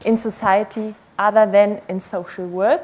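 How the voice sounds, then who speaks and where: A woman with a non-native accent talks at a fairly high pitch. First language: not English. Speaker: academic researcher. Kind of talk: conference talk. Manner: slow.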